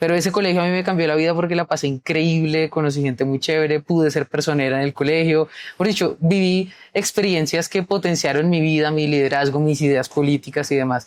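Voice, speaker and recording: Against a quiet background, a woman with a very deep, low pitch speaks at a fairly quick pace, with fairly even intonation and very even loudness. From Colombia, Bogotá (south, San Cristóbal). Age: 20s. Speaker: youth pension activist and social media creator. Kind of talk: interview.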